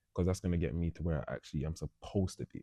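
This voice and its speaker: A man with a London accent speaks in a very deep, low pitch and a dark, mellow tone. The sound is dry and close with no echo, over a quiet background. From North London. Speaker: professional boxer. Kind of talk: interview. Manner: casual.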